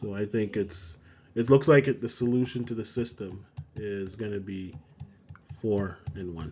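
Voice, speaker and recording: A man speaks in a somewhat breathy voice at a fairly low pitch, with ordinary pitch variation. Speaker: math teacher. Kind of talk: tutorial.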